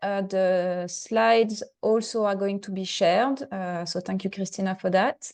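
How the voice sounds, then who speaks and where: A woman's speech moves at a fairly slow pace, her pitch varying in an ordinary way, with a quiet background behind her. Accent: French. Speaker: webinar moderator. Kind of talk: webinar introduction. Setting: online webinar. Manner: halting, many fillers.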